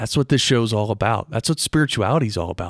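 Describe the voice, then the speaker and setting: The man's voice sits fairly low. Its pitch varies in an ordinary way. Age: 40s. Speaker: podcast host on spirituality and meditation. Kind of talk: solo spiritual talk.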